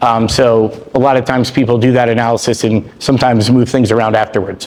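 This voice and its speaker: Talking at a very fast pace, a man is the speaker here. Background noise is noticeable. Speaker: franchise attorney. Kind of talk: presentation to a group.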